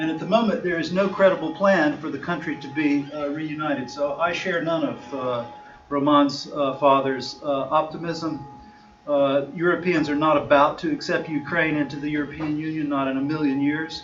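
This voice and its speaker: Noticeable background noise and audible room echo around a man's fairly high voice, at a moderate pace with fairly even intonation. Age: 50s. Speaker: lawyer and discussion-group chair. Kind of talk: conference talk. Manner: hesitant, many fillers.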